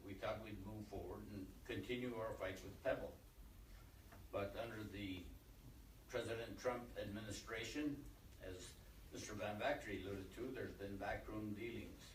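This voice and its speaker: A man speaks at a moderate pace with long, frequent pauses. Noticeable background noise and audible room echo fill the recording. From Alaska, Bristol Bay. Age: 60s. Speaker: community leader. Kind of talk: press conference statement.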